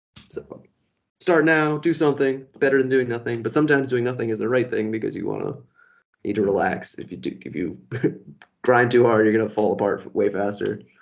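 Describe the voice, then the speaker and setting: A man does a put-on character voice, raspy and medium in pitch, with ordinary pitch variation and big swings in loudness. He talks at a fairly quick pace against a quiet background. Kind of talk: calm, relaxed.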